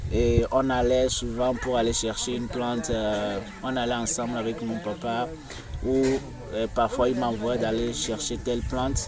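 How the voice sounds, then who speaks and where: Amid noticeable background noise and audible room echo, a man with a Togolese accent speaks at medium pitch and a fairly slow pace with fairly even intonation. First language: Moba (speaking French). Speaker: tour guide. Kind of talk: interview answer.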